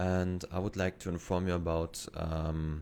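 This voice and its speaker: With a German accent, a man speaks at a fairly slow pace in a very deep, low pitch. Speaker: train simulator YouTuber. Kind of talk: gameplay commentary. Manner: halting.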